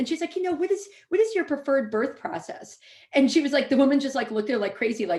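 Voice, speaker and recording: At a very fast pace, a woman talks in a high pitch. Her pitch swings very widely. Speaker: epidemiologist. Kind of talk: panel discussion.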